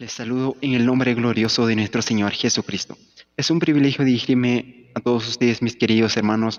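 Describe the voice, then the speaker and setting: Over noticeable background noise, a man speaks at a medium pitch and a fairly quick pace, with fairly even intonation. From Peru, Huánuco highlands. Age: 20s. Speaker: church musician. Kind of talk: formal greeting.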